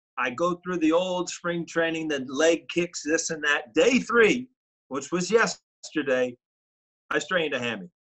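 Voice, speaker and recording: A man talks with a high-pitched voice at a moderate pace. The background is quiet. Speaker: remote guest. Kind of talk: interview answer. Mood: relaxed, joking. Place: home room.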